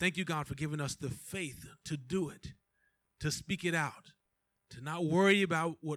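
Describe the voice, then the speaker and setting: A man's fairly high-pitched, a normal speaking voice at a moderate pace with ordinary pitch variation. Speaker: pastor. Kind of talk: prayer. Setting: church.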